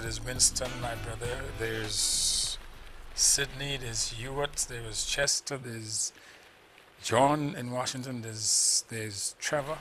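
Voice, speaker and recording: Noticeable background noise fills the recording. Over it, a man speaks fairly slowly. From St Lucia, Castries. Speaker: musician. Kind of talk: TV interview. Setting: TV studio.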